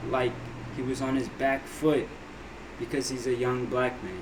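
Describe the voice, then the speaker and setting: Noticeable background noise and audible room echo fill the clip. A man speaks at a medium pitch. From abroad, moved to US at six. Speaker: reaction video creator. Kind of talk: casual commentary on a video. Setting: home office.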